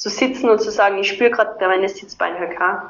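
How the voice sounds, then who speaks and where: This is a woman speaking at a medium pitch. She has an Austrian accent. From southern Austria (Carinthia). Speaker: movement and breathing coach. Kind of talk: interview.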